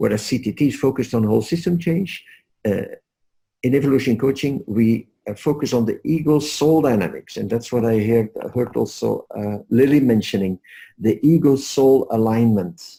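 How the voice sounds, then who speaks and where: With a Dutch accent, a man talks at medium pitch and a moderate pace. His tone is dark and mellow, with ordinary pitch variation. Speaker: leadership coach. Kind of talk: webinar presentation. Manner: soft-spoken. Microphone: headset microphone, too quiet.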